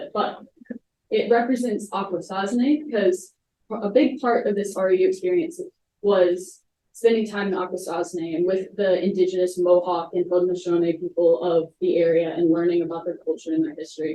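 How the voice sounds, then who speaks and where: The voice has a dark, mellow tone and ordinary pitch variation, heard with audible room echo and light background noise. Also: woman. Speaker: college student presenter; presenter. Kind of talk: student presentation. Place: hall. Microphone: camera far.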